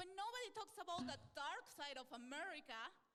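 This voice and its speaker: A woman is speaking. She has a Spanish accent. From Peru. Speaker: stand-up comedian. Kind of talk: interview answer.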